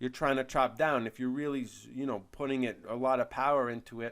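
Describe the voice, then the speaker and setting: A man talks at a medium pitch in a very clean recording with a silent background. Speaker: product reviewer. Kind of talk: product review video. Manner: fast; casual, with frequent fillers and repetitions.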